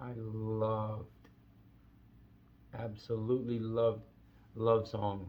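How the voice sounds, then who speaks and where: A man's somewhat breathy, fairly low voice in a flat monotone, very slow, with audible room echo. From Brazil. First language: Portuguese. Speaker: vlogger. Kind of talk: casual monologue. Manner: halting.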